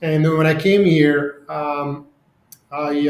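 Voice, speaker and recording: A man's fairly high-pitched voice in a flat monotone. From Serbia. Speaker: real estate CEO. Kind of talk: podcast interview. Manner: halting.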